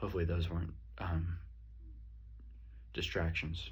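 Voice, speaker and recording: A very deep, low male voice with fairly even intonation, amid noticeable background noise and audible room echo. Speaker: student. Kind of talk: self-reflection monologue. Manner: loud.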